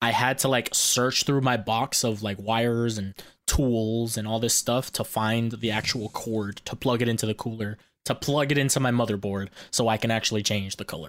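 Fairly even intonation and a moderate pace mark a plain, everyday voice. The background is silent on this very clean recording. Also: man, medium pitch for a man. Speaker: podcast co-host. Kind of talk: casual chat. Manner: loud, joking, profane.

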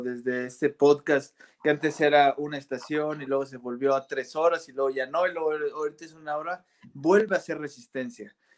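In a very clean recording with a silent background, a man with a fairly high pitch speaks at a moderate pace, with ordinary pitch variation and an unremarkable speaking voice. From Irapuato, central Mexico. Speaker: bassist. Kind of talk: casual interview.

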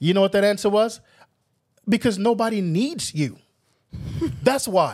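This man talks at a fairly quick pace. The recording is very clean, with a silent background. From New York (Brooklyn). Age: 50s. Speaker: pastor. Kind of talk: casual chat.

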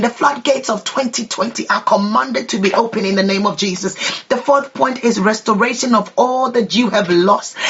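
The speech moves at a moderate pace with hardly any pauses. Noticeable background noise is present throughout. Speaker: prayer leader. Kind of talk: fervent prayer and declarations. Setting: online prayer broadcast. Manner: impassioned, rhythmic, repetitive declarations.

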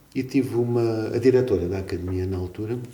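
A man talks at a fairly quick pace with ordinary pitch variation. The room echo is audible. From Portugal, Algarve (Portimão). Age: 50s. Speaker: music teacher and composer. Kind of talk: casual interview. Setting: school.

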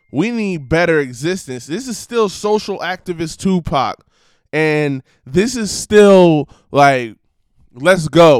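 Speaking at a fairly slow pace, a man with a fairly high pitch sounds animated and makes very wide pitch swings. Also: very clean recording, silent background. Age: 20s. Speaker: podcast host. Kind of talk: casual solo monologue.

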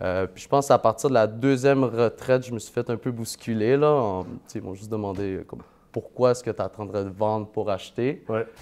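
With a plain, everyday voice, a man speaks at a moderate pace with ordinary pitch variation and big swings in loudness. The background is quiet. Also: medium pitch for a man. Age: 20s. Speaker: part-time real estate investor and banker. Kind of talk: casual interview.

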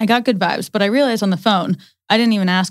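Talking at a very fast pace, a woman shows vocal fry and ordinary pitch variation. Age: 20s. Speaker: podcast co-host. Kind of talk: casual chat. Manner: animated.

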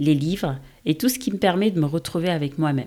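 On a very clean recording with a silent background, a woman speaks at a moderate pace in a fairly low pitch, with a dark, mellow tone and ordinary pitch variation. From Senegal. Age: 30s. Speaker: podcast host. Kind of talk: podcast trailer monologue.

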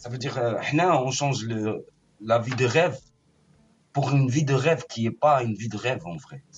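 The voice is somewhat breathy and very fast, with big swings in loudness. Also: man, medium pitch for a man, ordinary pitch variation. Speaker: caller.

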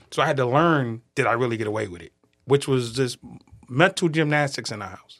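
A man with an American accent and a normal speaking voice talks at a fairly quick pace and medium pitch. His pitch variation is ordinary, while his loudness swings a lot. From Boston. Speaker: prison reform advocate, former prisoner. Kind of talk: podcast interview. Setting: studio.

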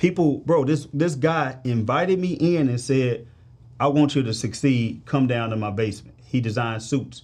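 Medium pitch for a man, a plain, everyday voice, moderate pace and ordinary pitch variation. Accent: American. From St. Louis, Missouri, US. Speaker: financial advisor. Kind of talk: casual interview chat.

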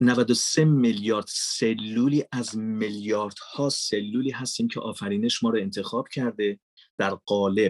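A man talks at a fairly slow pace and medium pitch, in an ordinary speaking voice. His intonation is fairly even, and the sound is dry and close with no echo. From Iran, Mashhad. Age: 40s. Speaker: voice-over artist and filmmaker. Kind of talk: podcast interview. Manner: formal.

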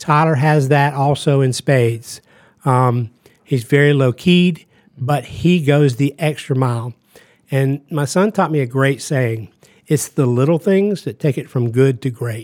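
A fairly slow pace and ordinary pitch variation in an ordinary speaking voice with an American accent. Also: man, fairly high pitch for a man. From Georgia, US South (Augusta). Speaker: media company founder. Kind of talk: casual chat. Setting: studio.

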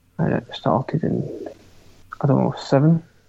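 A man speaks fairly slowly with noticeable background noise around him. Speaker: podcast co-host. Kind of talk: casual chat.

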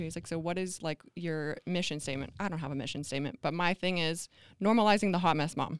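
On a very clean recording with a silent background, a woman with an American accent talks at a very fast pace and a fairly low pitch. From US Pacific Northwest (Blaine, Washington). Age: 30s. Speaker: mom and small business owner. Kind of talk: casual interview chat.

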